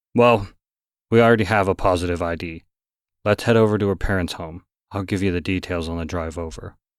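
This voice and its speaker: A man puts on a gruff, rumbling character voice with a very deep, low pitch and fairly even intonation, moving at a fairly quick pace broken by long, frequent pauses, on a very clean recording with a silent background. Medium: read story. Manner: gruff, grumbling.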